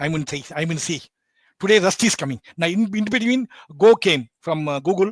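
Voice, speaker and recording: Very wide pitch swings mark a man's speech at a moderate pace, in a dry, close sound with no echo and a very clean recording with a silent background. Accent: Bengali. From India. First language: Bengali. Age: 60s. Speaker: embedded systems educator. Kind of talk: podcast interview. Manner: halting.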